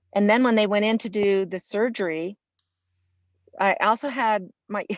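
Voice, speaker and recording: Here a woman speaks with an American accent at a moderate pace. She takes long, frequent pauses. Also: quiet background. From US West, Los Angeles. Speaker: early childhood special education teacher. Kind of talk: interview conversation. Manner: loud.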